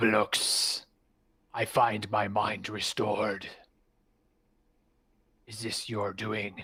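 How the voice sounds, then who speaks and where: Putting on a character voice, a man speaks in a raspy, fairly low pitch at a very slow pace with long, frequent pauses. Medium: actual play. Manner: slow, imperious.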